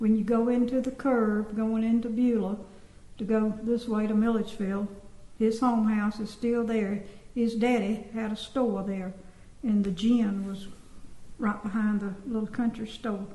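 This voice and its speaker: A woman's fairly high voice with a Southern US accent, monotone and flat in intonation, at a moderate pace. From US South, Georgia (Sparta). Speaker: former resident recalling childhood. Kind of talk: oral history interview.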